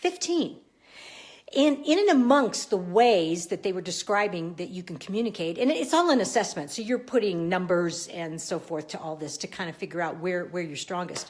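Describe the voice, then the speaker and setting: In a normal speaking voice, a woman talks at a moderate pace and medium pitch, her intonation lively and her loudness swinging widely. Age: 50s. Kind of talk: casual live video chat. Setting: live social media video. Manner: conversational, many filler words.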